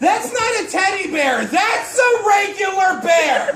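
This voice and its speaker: A man's loud voice comes through with audible room echo and noticeable background noise. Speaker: stand-up comedian. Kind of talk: stand-up. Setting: stage with audience.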